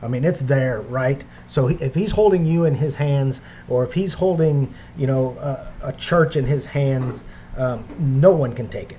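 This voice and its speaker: Speech moves at a moderate pace with ordinary pitch variation. There is noticeable background noise. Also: man, fairly high pitch for a man. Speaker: bible teacher. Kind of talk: bible study lecture. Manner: hesitant, many fillers.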